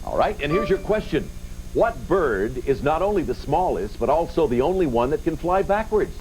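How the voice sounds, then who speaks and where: Over music in the background, a man with a high pitch speaks in an upbeat tone at a moderate pace, with lively intonation and very even loudness. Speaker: game show host. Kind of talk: game show hosting, upbeat banter with contestants and audience. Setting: TV studio with live audience. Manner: upbeat, friendly, jovial.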